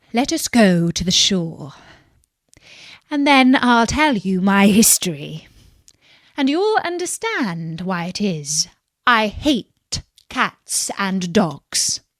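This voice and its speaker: A woman uses a put-on character voice that sounds shaky, with a medium pitch and very wide pitch swings. She speaks very slowly, leaving long, frequent pauses. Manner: trembling, emotional.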